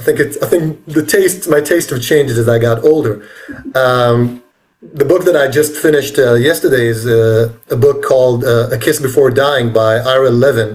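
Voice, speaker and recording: A man with an Israeli accent, his loudness very even and his pitch variation ordinary. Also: medium pitch for a man, moderate pace. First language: Hebrew. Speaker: author. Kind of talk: interview. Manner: halting.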